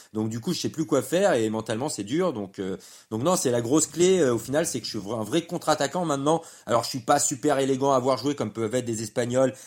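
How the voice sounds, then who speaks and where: The pitch moves in an ordinary way. The delivery is fairly quick. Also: man. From France. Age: 30s. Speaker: professional padel player and pundit. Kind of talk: casual chat. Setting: padel club.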